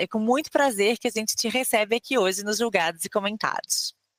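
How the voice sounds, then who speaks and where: A woman talks at a fairly quick pace with ordinary pitch variation, in a dry, close sound with no echo. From Rio de Janeiro state, Brazil. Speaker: podcast host. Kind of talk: scripted introduction; interview.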